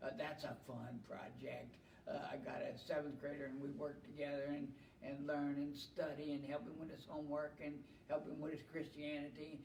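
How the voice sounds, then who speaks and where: Amid noticeable background noise and audible room echo, a man talks at a moderate pace with a fairly high pitch and fairly even intonation. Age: 70s. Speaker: retired heavy equipment operator, church volunteer. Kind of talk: casual chat.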